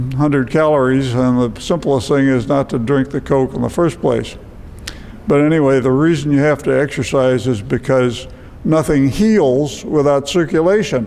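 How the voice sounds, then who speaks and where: Amid noticeable background noise, a man with a fairly high pitch talks at a moderate pace with ordinary pitch variation. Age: 80s+. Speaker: retired physician. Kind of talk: lecture.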